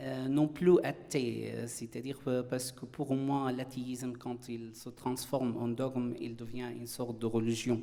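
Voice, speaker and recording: A man with an Arabic accent speaks at a fairly slow pace in a medium, monotone, flat voice, with hardly any pauses. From Syria. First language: Arabic (speaking French). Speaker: philosopher, panelist. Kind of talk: conference talk. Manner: halting, frequent hesitations.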